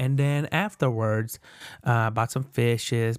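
The man's pitch is medium and his intonation fairly even at a moderate pace. The recording is very clean, with a silent background. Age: just turned 18. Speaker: podcast host, college student. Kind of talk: casual solo chat. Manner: informal, many fillers.

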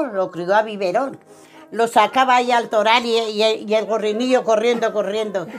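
A woman speaks at a fairly high pitch with fairly even intonation and a fairly slow pace. Music plays in the background. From Spain, Ciudad Rodrigo (Salamanca). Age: 90s. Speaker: retired elderly resident. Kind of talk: recorded life-story interview.

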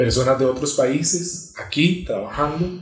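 A man talks with an ordinary speaking voice. His intonation is lively and his pace fairly slow. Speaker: podcast host. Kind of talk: interview.

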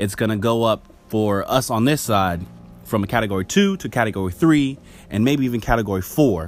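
With an unremarkable speaking voice, a man talks in an American accent at a fairly quick pace, with medium pitch and ordinary pitch variation. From California, with Caribbean roots. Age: 20s. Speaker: news podcast host. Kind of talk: casual news commentary. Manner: conversational, with frequent fillers.

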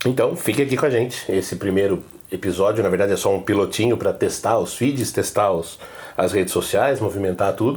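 The voice is somewhat breathy, moving at a fairly quick pace. Loudness stays very even while pitch varies in an ordinary way. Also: man. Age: 40s. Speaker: podcast host, journalist and university lecturer. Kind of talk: podcast introduction monologue.

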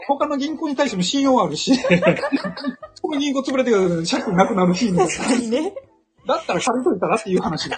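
Over noticeable background noise, a man talks at a fairly quick pace in an extremely high pitch, with very wide pitch swings. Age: 50s. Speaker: author and investor. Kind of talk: casual chat.

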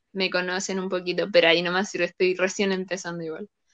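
In a Chilean accent, a woman talks at a very fast pace. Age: 20s. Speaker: video game player. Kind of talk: interview.

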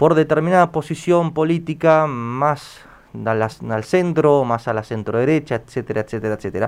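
Over a quiet background, a man with a fairly high pitch and ordinary pitch variation talks at a moderate pace in a plain, everyday voice. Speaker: radio host. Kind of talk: radio interview.

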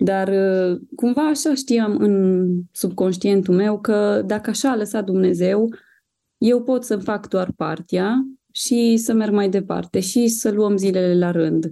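A dark, mellow tone at a very slow pace, with very even loudness, ordinary pitch variation and a quiet background. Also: woman, medium pitch for a woman. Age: 30s. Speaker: mother of a child with cancer. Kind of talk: testimony.

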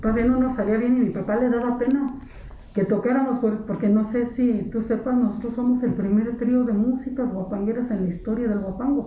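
A woman speaks at a fairly high pitch with fairly even intonation and very even loudness. Audible room echo and noticeable background noise surround her voice. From Mexico, San Joaquín, Querétaro Sierra. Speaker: huapango musician and cultural promoter. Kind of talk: interview. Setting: house of culture, recorded on location.

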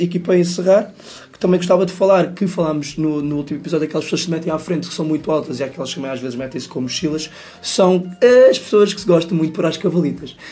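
A man with a high voice speaks at a very fast pace. His intonation stays fairly even over noticeable background noise. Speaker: podcast co-host. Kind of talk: casual comedic chat.

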